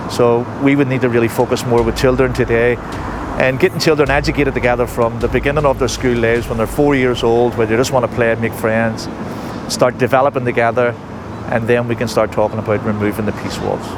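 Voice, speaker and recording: A man with a Belfast accent, very fast pace and monotone, flat intonation, over noticeable background noise. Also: medium pitch for a man. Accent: Belfast Northern Irish. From Northern Ireland, Belfast. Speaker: taxi tour guide. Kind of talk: guided tour talk.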